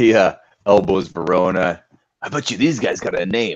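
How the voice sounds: A natural reading voice with lively intonation comes over a quiet background.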